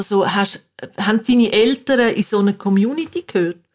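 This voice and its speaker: Her voice comes across somewhat breathy. The woman talks at a moderate pace, and her intonation is lively. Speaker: podcast host. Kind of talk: interview. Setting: video call.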